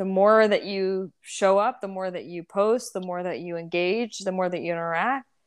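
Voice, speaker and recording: In an American accent, a woman talks at a moderate pace and medium pitch with ordinary pitch variation, an ordinary speaking voice against a quiet background. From Texas. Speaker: country singer. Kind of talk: casual interview.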